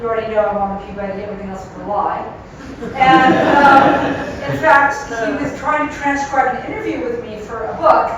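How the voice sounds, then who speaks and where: With lively intonation and big swings in loudness, a woman speaks at a high pitch amid audible room echo and noticeable background noise. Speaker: journalist and immersive media creator. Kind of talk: public lecture. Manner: fast.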